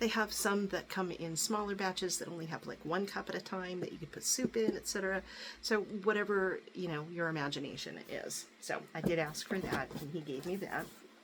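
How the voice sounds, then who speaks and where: Background music plays throughout. A woman talks over it with ordinary pitch variation. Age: 60s. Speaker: YouTuber showing gifts. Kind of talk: casual haul video. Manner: chatty, with many fillers. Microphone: crackling noise.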